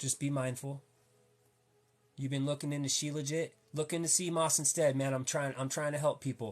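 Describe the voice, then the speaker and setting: Here a man with a fairly high pitch speaks at a moderate pace. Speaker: health and wellness livestreamer. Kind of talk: casual livestream talk. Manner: animated, repetitive with restarts.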